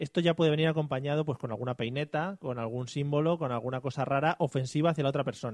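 Very fast male speech, fairly high in pitch, with ordinary variation in pitch. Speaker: podcast host. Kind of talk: casual comedy chat; mock news reading. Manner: animated.

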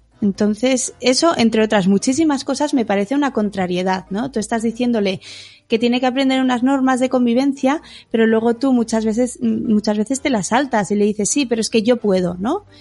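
Her tone is dark and mellow. The woman keeps a very even loudness and a fairly quick pace. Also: fairly high pitch for a woman, ordinary pitch variation. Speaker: podcast co-host, teacher and blogger. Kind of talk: casual chat.

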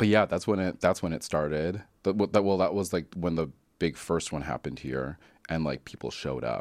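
A man with a Canadian accent talks at a fairly quick pace in a very deep, low voice with vocal fry and ordinary pitch variation. The recording is very clean, with a silent background. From Calgary, Canada. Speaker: opera singer. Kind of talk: casual chat. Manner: halting.

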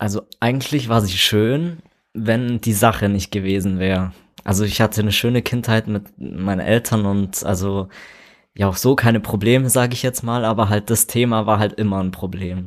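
This man has an unremarkable speaking voice, moving at a moderate pace with ordinary pitch variation. The recording is very clean, with a silent background. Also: fairly low pitch for a man. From Immenstadt, Allgäu, Bavaria. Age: 20s. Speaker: interview guest. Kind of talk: interview.

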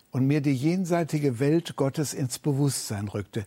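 A somewhat breathy man at a fairly high pitch, dark and mellow in tone, with lively intonation and a moderate pace, on a very clean recording with a silent background. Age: 70s. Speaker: retired church leader and preacher. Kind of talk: sermon.

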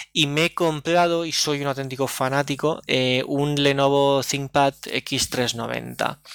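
A man with a fairly high pitch talks at a very slow pace in a flat monotone, with hardly any pauses and very even loudness. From Oliva, Valencia region, Spain. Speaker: tech podcaster. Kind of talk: casual chat.

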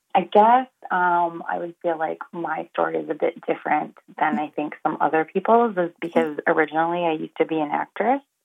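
With a plain, everyday voice, a woman speaks fairly quickly at a fairly low pitch, with ordinary pitch variation. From northern Alberta, Canada. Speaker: filmmaker. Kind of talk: interview.

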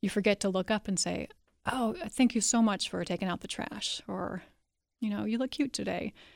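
A woman's medium pitch with vocal fry and ordinary pitch variation at a moderate pace, dry and close with no echo, on a very clean recording with a silent background. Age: 40s. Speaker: author. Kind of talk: interview. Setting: studio.

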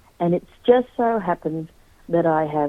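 The speaker has an Australian accent. Delivery comes at a moderate pace. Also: woman. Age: 50s. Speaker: historian and author. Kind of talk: radio interview.

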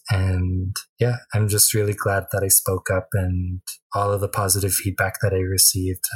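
With a western Canadian accent, a man speaks at a moderate pace in a somewhat breathy, monotone, flat voice with very even loudness, recorded dry and close with no echo on a very clean recording with a silent background. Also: fairly low pitch for a man. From Tsuut'ina reserve near Calgary, Alberta, Canada. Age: 20s. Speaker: First Nations activist. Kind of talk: radio interview.

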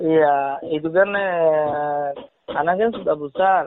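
A man with a Rakhine accent talks at a very slow pace. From Myanmar, Rohingya. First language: Rohingya (speaking Indonesian). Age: 40s. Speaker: refugee. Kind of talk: interview. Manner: halting.

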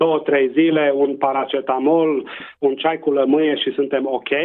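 A man with a Transylvanian accent and a fairly high pitch. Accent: Transylvanian Romanian. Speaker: public health doctor. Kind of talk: interview. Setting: radio interview.

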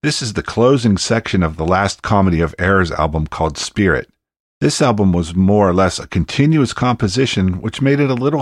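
The speaker has an American accent and a moderate pace. Pitch swings very widely. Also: man. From Pittsburgh, Pennsylvania. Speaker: podcast host. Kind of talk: casual interview.

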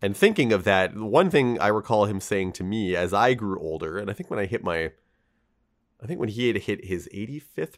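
A man talks at a fairly quick pace and fairly low pitch, with ordinary pitch variation and an ordinary speaking voice. The recording is very clean over a silent background. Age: 40s. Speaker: podcast co-host. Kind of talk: casual chat.

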